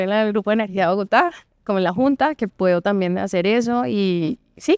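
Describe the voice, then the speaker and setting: Recorded dry and close with no echo, a woman speaks with lively intonation. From Colombian Caribbean coast, Valledupar. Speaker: lawyer and board member. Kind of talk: podcast interview.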